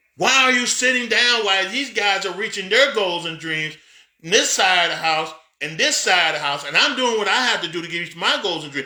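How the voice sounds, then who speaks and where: A man with a high pitch speaks in a raised, projected voice, his tone animated and his intonation lively. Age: 50s. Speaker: pastor and business coach. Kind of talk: motivational talk. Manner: halting.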